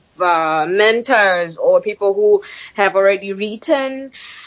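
The speaker is a woman with a medium pitch. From Tanzania. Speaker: memoir author and PhD student. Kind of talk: interview answers. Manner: halting, hesitant with fillers.

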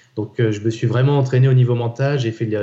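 The man's voice sits at medium pitch and is somewhat breathy. His intonation stays fairly even. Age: 40s. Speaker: endurance athlete and business leader. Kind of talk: interview.

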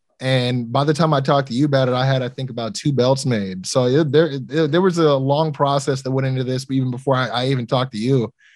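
Very fast male speech at medium pitch, fairly even intonation, hardly any pauses. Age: 30s. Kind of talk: casual interview.

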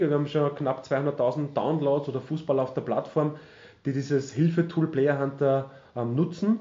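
A man is speaking. His voice is fairly high in pitch and somewhat breathy. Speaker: retired footballer and TV pundit. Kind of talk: interview.

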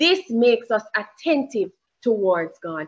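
A woman in a Jamaican accent, bright and sharp in tone, with very wide pitch swings at a fairly slow pace. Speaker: preacher. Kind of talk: sermon. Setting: church.

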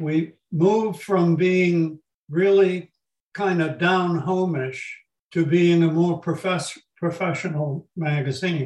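In an American accent, a man with a high pitch speaks at a very slow pace with fairly even intonation. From Massachusetts, Haverhill. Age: 80s+. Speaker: retired magazine publisher. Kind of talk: interview.

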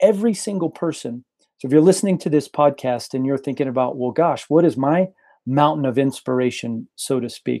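On a very clean recording with a silent background, a man talks at a fairly quick pace. His fairly high voice has a dark, mellow tone and ordinary pitch variation. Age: 40s. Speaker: pastor. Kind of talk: interview.

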